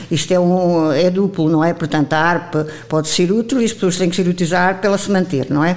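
A woman at medium pitch and a moderate pace, with ordinary pitch variation, against noticeable background noise. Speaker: retired teacher, association president. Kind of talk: interview. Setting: association headquarters.

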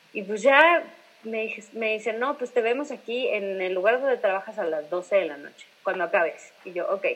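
At a fairly quick pace, a woman speaks with lively intonation. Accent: central Mexican. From Mexico, Irapuato. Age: 20s. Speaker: singer. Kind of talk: casual interview.

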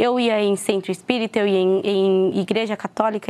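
At a moderate pace, a woman speaks in a fairly high pitch with a plain, everyday voice. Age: 20s. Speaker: churchgoer giving testimony. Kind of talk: testimony.

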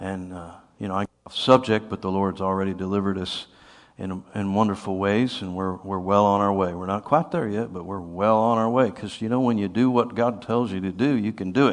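Fairly quick and fairly even in intonation, a man with an American accent speaks at a fairly low pitch in a plain, everyday voice against a quiet background. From US Northeast. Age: 50s. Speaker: preacher. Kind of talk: sermon.

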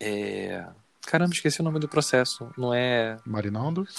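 Speaking fairly slowly, a man uses a medium pitch and lively intonation. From Rio de Janeiro, north zone. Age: 40s. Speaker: researcher. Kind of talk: casual interview conversation.

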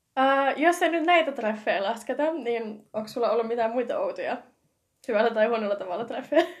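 Her pitch is high for a woman, with ordinary variation. She speaks at a fairly quick pace. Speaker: podcast host. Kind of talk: casual chat. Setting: home.

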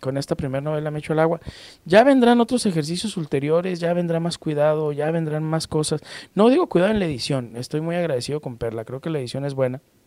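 Here the voice has a dark, mellow tone and ordinary pitch variation, delivered at a fairly quick pace. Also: man. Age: 50s. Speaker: judge and novelist. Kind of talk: interview.

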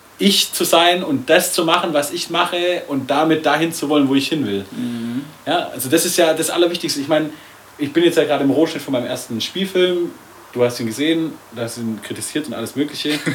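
A man's fairly high voice moves at a fairly quick pace, with noticeable background noise behind it. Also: ordinary pitch variation. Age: 20s. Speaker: podcast co-host, filmmaker. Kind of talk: casual chat. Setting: studio.

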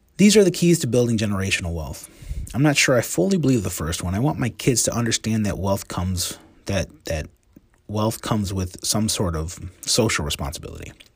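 A man with an American accent talks at a fairly quick pace, somewhat breathy. His fairly low voice swings very widely in pitch. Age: 40s. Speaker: physical therapist and blogger. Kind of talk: casual monologue reading and commenting on book quotes. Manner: conversational with frequent fillers.

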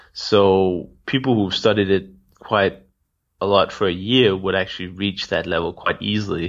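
The man has a plain, everyday voice. He talks at an average speed, his intonation mostly level. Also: fairly low pitch for a man. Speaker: language-learning podcaster interviewing polyglots. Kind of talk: casual interview chat.

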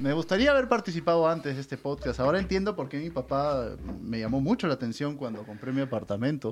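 A man talks very fast in a fairly high-pitched voice. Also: lively intonation. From Peru. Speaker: podcast host. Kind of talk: casual chat.

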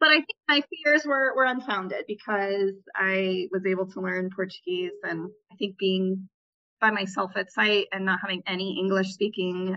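Her intonation lively and her pitch medium, a woman with an American accent speaks at a moderate pace in an unremarkable speaking voice. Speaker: returned Peace Corps volunteer working in global health. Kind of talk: casual interview.

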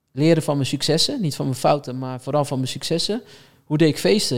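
A man's normal speaking voice, fairly high in pitch, with fairly even intonation. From Netherlands, Rotterdam. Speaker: talent manager. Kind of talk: podcast interview.

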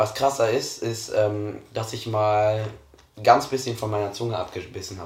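In audible room echo, a man with a fairly low pitch and a somewhat breathy sound speaks at a moderate pace with fairly even intonation and big swings in loudness. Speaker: podcast co-host. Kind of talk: casual chat.

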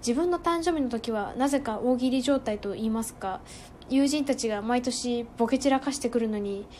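A woman speaks at a moderate pace with ordinary pitch variation. Her high voice has a dark, mellow tone. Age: 20s. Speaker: podcaster. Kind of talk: solo monologue. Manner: formal.

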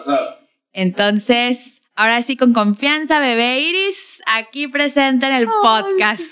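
A bright, sharp tone at a very slow pace. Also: woman, high pitch for a woman. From Tijuana, Mexico. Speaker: podcast host. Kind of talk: casual chat.

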